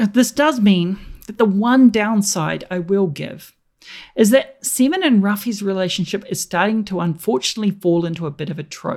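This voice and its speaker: A New Zealand accent comes through in a very clean recording with a silent background, the loudness swinging widely. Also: woman, medium pitch for a woman, lively intonation, moderate pace. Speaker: politics lecturer and podcaster. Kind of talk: scripted review segment.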